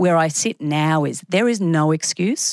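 A woman with an Australian accent speaks at a fairly slow pace, her voice dry and close with no echo on a very clean recording with a silent background. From Australia, Brisbane. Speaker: media executive. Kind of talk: interview.

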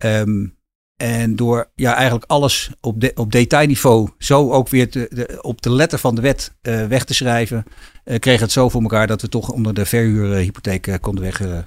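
Captured in a very clean recording over a silent background, a man speaks at medium pitch and a moderate pace with ordinary pitch variation. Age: 50s. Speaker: financing specialist, co-founder. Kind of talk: interview. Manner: halting, many fillers and repetitions.

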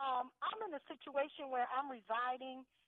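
A woman with an American accent speaks at a moderate pace in a high pitch, her intonation fairly even. The sound is dry and close, with no echo.

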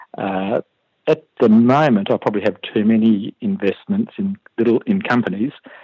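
A man with an Australian accent speaks at a moderate pace with medium pitch and ordinary pitch variation. His tone is dark and mellow, in a dry, close sound with no echo. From Western Australia (Perth). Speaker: retired computer programmer, private investor. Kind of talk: interview. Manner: hesitant, many fillers.

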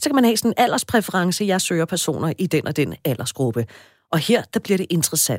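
Her pitch swinging very widely, a woman speaks at a fairly quick pace in a very clean recording with a silent background and a dry, close sound with no echo. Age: 40s. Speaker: radio host. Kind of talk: casual chat. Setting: studio.

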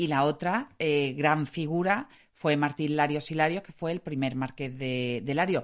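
Her pitch very deep and low, a woman speaks fairly slowly with ordinary pitch variation and big swings in loudness. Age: 40s. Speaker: local historian. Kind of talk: casual conversation.

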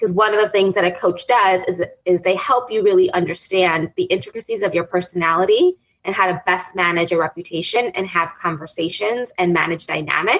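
A woman with an ordinary speaking voice talks at medium pitch and a fairly quick pace, her intonation fairly even. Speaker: executive life coach. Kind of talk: radio interview.

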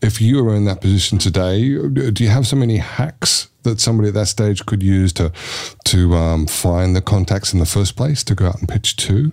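A man speaks in a plain, everyday voice at a fairly quick pace. His pitch is fairly low with ordinary variation, and his loudness stays very even. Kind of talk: casual chat.

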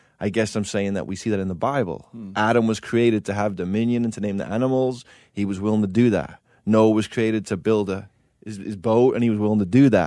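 Speaking at a very fast pace with an English accent, a man uses a fairly low pitch and a dark, mellow tone, with fairly even intonation over a quiet background. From England. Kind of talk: casual chat. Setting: studio.

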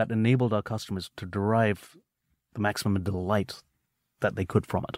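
A man speaks with a British accent. The recording is very clean with a silent background, and the sound is dry and close with no echo. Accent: British-sounding. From England, UK, with high school in India. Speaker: tech company co-founder. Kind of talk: interview.

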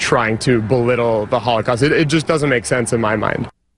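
A man talks at a fairly quick pace and medium pitch. His intonation is fairly even, and there is noticeable background noise. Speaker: sports news reader. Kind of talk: casual radio banter with sports news reading. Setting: radio studio. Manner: uptalking, rising intonation.

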